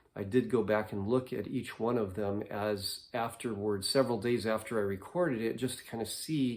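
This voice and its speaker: In a calm tone, a man speaks at a moderate pace with ordinary pitch variation. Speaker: vlogger. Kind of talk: casual monologue to camera. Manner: calm, low-key.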